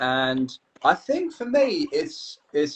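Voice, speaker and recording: A man with a British accent talks with very wide pitch swings. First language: Kurdish. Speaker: English teacher. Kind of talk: casual chat.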